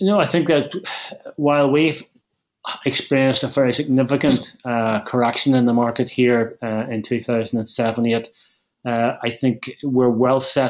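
A man speaks at a moderate pace and medium pitch, keeping his intonation fairly even. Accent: Northern Irish. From Northern Ireland, Belfast. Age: 60s. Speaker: property investor. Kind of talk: casual chat.

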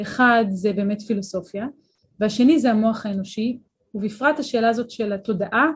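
A woman's fairly high voice at a moderate pace. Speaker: neuroscience and philosophy professor. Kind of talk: interview. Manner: clear diction.

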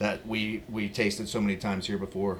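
At a moderate pace, a man speaks in a plain, everyday voice that sits fairly low. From Virginia. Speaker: pitmaster and caterer. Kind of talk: casual chat.

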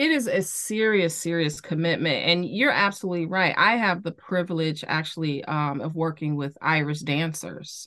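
Against a quiet background, a woman with an American accent speaks at a moderate pace with hardly any pauses. Her fairly low pitch has a bright, sharp tone and ordinary variation. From Chicago. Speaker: therapist for athletes. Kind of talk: podcast interview. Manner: repeats words, halting starts.

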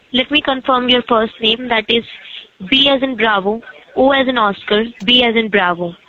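Over noticeable background noise, a woman with a fairly high pitch talks at a moderate pace, her loudness very even and her pitch variation ordinary. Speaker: telemarketer. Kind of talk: scam phone call. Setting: phone call.

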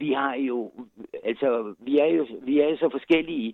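A fairly high-pitched man with lively intonation at a very slow pace. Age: 60s. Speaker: volunteer night-walk organizer. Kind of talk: interview. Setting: phone call. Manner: halting.

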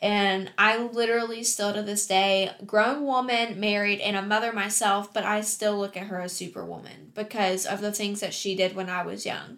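A woman's medium-pitched voice in an American accent, at a moderate pace, with monotone, flat intonation. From West Virginia, Huntington. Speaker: stay-at-home mom and blogger. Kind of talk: casual chat.

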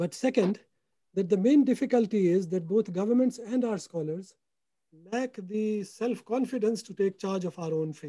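At a moderate pace, a man speaks at a high pitch in a dark, mellow tone with ordinary pitch variation. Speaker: economist. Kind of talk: panel discussion webinar; prepared presentation. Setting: video call, audio only. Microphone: has to speak close to mic.

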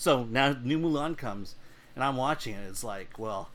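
A man speaks with an American accent at a medium pitch. The room echo is audible. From US. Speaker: film critic and editor. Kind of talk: casual chat.

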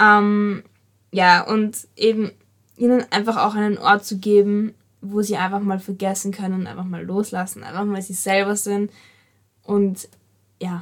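A woman with a medium pitch speaks fairly slowly in a monotone, flat way. Her loudness swings widely, broken by long, frequent pauses. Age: young. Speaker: podcast host, dancer. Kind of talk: casual chat.

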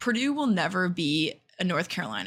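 With an American accent, a woman talks at a moderate pace in a fairly low pitch, with vocal fry. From Indiana, US Midwest. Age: 20s. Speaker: podcast co-host. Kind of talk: casual chat.

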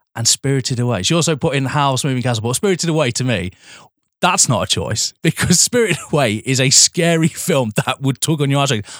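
Speaking very fast with an English accent, a man uses a fairly high pitch and lively intonation, and the sound is dry and close with no echo. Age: 30s. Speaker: podcast co-host. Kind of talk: casual chat.

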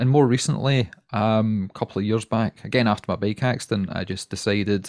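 A man with a Glaswegian accent at a fairly low pitch and fairly quick pace, fairly even in intonation, the sound dry and close with no echo. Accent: Glaswegian Scottish. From Scotland, Glasgow. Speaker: watch podcaster. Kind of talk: casual interview chat. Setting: home recording, remote call.

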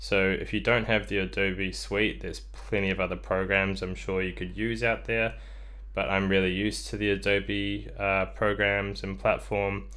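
At a moderate pace, a man speaks amid audible room echo. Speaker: solo podcaster. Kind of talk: casual monologue. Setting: bedroom home studio. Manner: halting, many ums and ahs.

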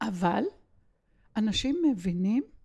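In a very clean recording with a silent background, a woman speaks at a medium pitch and a very slow pace. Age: 70s. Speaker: organizational consultant. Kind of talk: interview.

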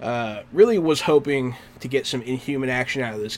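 A man speaks in an ordinary speaking voice at a medium pitch. His pitch varies in an ordinary way. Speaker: podcast host. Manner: laid-back, casual.

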